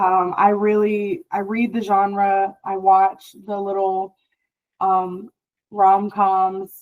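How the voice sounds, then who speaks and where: A woman speaks at a very slow pace. Her intonation is monotone and flat. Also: medium pitch for a woman. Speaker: author. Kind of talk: interview. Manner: loud.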